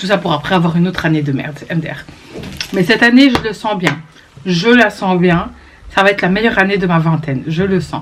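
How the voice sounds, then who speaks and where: A woman's animated, fairly quick delivery with long, frequent pauses, ordinary pitch variation, and noticeable background noise. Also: medium pitch for a woman. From Belgium, Brussels. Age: 20s. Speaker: vlogger. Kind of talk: vlog monologue to camera.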